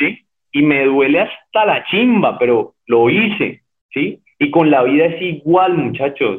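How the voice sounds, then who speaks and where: This man speaks very slowly with a Cali accent, his pitch swinging very widely. His loudness stays very even throughout. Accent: Colombian, Cali (caleño) Spanish. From Colombia, Cali. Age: 30s. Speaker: cyclist and ultra-endurance athlete. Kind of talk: interview. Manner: hesitant, many repetitions.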